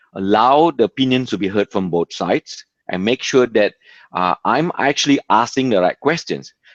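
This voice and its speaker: With a non-native accent, a man at a medium pitch uses lively intonation and a moderate pace, recorded dry and close with no echo. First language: not English. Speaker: community event organizer. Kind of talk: video call advice talk.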